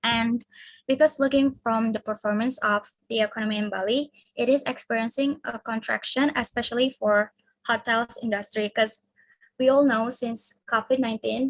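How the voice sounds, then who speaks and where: A woman speaks with an Indonesian accent and a fairly high pitch. Her pace is moderate and her intonation fairly even. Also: dry, close sound with no echo. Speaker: university student. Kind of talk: class presentation. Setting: video call.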